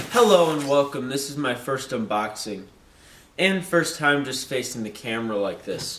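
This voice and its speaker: A man talks at a moderate pace with lively intonation and a fairly high pitch. Audible room echo surrounds his voice. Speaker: airsoft YouTuber. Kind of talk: unboxing video.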